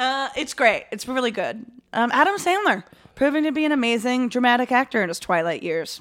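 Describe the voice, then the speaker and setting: Over a very clean recording with a silent background, a woman with an American accent speaks at a fairly quick pace in a high pitch, her voice making very wide pitch swings. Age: 30s. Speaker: podcast co-host. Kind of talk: casual chat, comedic banter.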